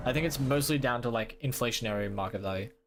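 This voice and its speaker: Someone with an Australian accent talks at a very fast pace, using ordinary pitch variation. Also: man. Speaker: gaming streamer. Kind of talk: live gameplay stream chat. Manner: casual, halting with many fillers.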